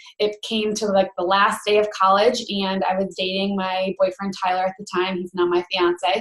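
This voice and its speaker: Here a woman speaks with a Western New York accent. Her pitch is medium and her pace moderate. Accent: Western New York American. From Rochester, New York, US. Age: 20s. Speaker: network marketing coach, former teacher. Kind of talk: online training presentation.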